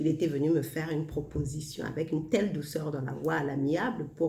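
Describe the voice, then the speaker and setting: There is audible room echo and noticeable background noise as a woman talks in a very deep, low pitch. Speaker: self-help vlogger. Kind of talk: casual monologue. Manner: slow; soft-spoken.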